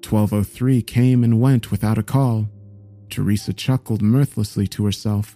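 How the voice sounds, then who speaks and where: Dark, mellow and solemn, the voice carries a dramatic tone with fairly even intonation at a moderate pace. The recording is very clean and dry, close-up with no echo and a silent background. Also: man. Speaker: narrator reading a creepypasta. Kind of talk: scripted narration of a horror story read aloud. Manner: solemn, shifting into dramatic character voices.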